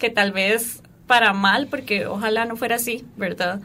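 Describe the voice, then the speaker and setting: Speaking at a very slow pace, a woman with a bright, sharp tone keeps her fairly high pitch on fairly even intonation. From Costa Rica, Turrialba. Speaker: dancer and parkour instructor. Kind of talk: radio interview.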